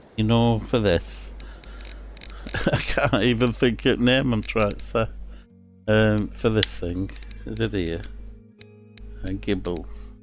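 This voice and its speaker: A man speaks very slowly in a strong Lancashire accent, with long, frequent pauses. Music plays in the background. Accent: broad Lancashire. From northern England, Lancashire. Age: 60s. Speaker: gaming streamer. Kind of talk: live gameplay commentary. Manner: halting.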